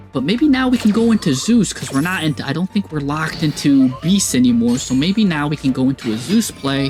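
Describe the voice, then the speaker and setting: An energetic, excited tone comes through at a moderate pace, with music in the background. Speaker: game commentator (shoutcaster). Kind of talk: enthusiastic game commentary.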